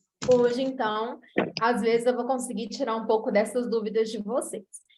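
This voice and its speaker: Her tone is dark and mellow, with a fairly high pitch. The woman speaks with a Minas Gerais accent. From Brazil, Minas Gerais. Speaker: nutritionist. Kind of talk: online lecture.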